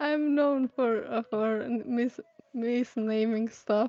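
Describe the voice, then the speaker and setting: A woman talks at a fairly slow pace with fairly high pitch. The sound is dry and close, with no echo. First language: Serbian. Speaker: concept artist. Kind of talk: casual chat. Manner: halting.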